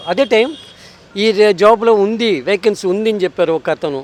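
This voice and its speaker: Over noticeable background noise, a man with a high pitch speaks with ordinary pitch variation, the sound dry and close with no echo. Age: 60s. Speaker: food delivery rider. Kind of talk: interview answer.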